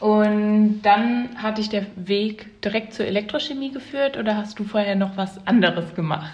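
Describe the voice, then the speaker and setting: Against noticeable background noise, a woman speaks at a fairly high pitch with ordinary pitch variation. Her pace is fairly slow, with hardly any pauses. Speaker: podcast host, chemistry student. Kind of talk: casual chat; reading aloud.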